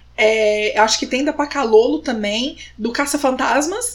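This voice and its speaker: A woman talks in a high voice with ordinary pitch variation. There is noticeable background noise behind her. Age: 30s. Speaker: podcast host. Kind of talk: casual chat.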